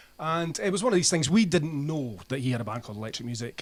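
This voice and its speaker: A fairly high-pitched man in a Scottish accent, at a fairly quick pace. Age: 60s. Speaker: band frontman and music writer. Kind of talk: radio interview. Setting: radio studio. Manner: casual, chatty.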